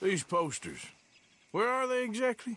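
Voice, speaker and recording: A man's gruff, put-on character voice, high-pitched, at a moderate pace with lively intonation. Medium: video game. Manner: curt, gruff.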